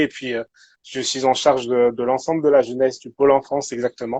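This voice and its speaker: The man's pitch is fairly high, and his intonation stays fairly even. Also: dry, close sound with no echo. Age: 20s. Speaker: youth pastor and social worker. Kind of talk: casual interview chat. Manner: halting, many repetitions.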